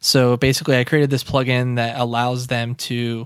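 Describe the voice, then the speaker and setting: The recording is very clean and the background silent. A man talks at a moderate pace. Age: 20s. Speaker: web developer. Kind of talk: casual interview.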